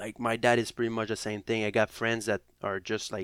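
A man with a Quebec accent speaks fairly quickly in a fairly low, flat monotone. The recording is very clean with a silent background and a dry, close sound with no echo. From Quebec, near Montreal. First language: French. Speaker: professional hockey player. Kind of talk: casual interview chat. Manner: halting, many fillers.

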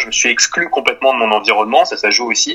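A man talking at a very fast pace amid noticeable background noise. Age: 20s. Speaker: online entrepreneur and content creator. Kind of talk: interview. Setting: video call.

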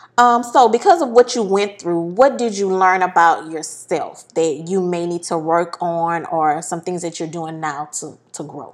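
On a very clean recording with a silent background, a woman with an unremarkable speaking voice talks at a fairly slow pace with hardly any pauses, her fairly low pitch showing ordinary variation while her loudness swings a lot. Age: 40s. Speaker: podcast host. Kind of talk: casual chat.

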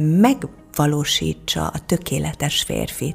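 Her voice is very deep and low. The speaker is a woman. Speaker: actress. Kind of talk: casual chat.

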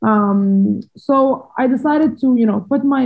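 Somewhat breathy, with ordinary pitch variation. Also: woman. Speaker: former professional squash player. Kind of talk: interview.

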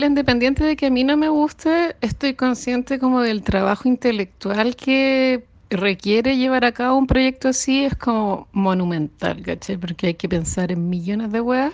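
At a moderate pace and with hardly any pauses, a woman speaks in a high voice with lively intonation. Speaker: listener sending audio comments. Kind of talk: recorded voice message.

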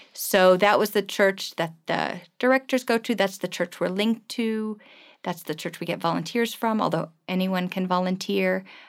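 A woman with an American accent and a plain, everyday voice speaks at a medium pitch. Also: ordinary pitch variation, moderate pace. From US East Coast (New York and Washington DC areas), German-born. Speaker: missionary and children's home volunteer. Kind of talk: interview conversation.

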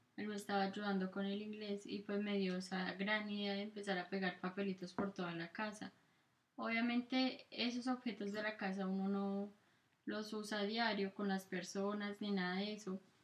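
A woman at medium pitch with monotone, flat intonation and a moderate pace. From Colombia. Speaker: podcast co-host. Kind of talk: casual chat.

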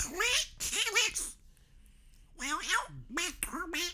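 A put-on character voice pitched extremely high talks at a fairly slow pace. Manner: choked, strangled.

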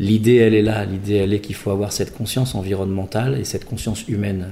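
A man with a fairly low pitch at a very fast pace. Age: 50s. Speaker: designer and entrepreneur. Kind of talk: interview. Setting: artist's studio. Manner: halting.

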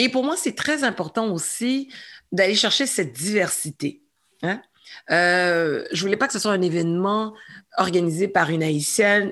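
In a normal speaking voice, a woman talks at a fairly slow pace and medium pitch with lively intonation against a quiet background. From Montreal, Quebec (Saint-Michel). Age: 40s. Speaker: entrepreneur and former comedian. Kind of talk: interview.

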